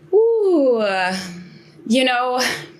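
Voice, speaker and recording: A woman with an American accent, in a room with audible echo. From United States. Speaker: business coach and consultant. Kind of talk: interview.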